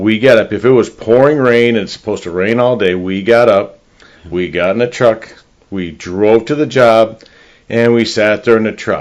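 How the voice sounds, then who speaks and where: The speaker has an American accent, a moderate pace and ordinary pitch variation. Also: man. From northern Illinois, US Midwest. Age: 60s. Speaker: real estate agent. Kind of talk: casual interview chat.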